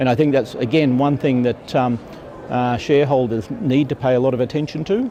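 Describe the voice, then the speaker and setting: The speech moves at a fairly quick pace with fairly even intonation over noticeable background noise. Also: man, medium pitch for a man. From Australia. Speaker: mining company executive. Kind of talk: conference interview. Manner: hesitant, many fillers.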